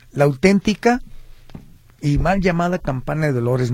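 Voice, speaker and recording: Somewhat breathy, a man's voice moves at a fairly slow pace. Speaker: historian and cultural tour guide. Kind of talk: radio interview.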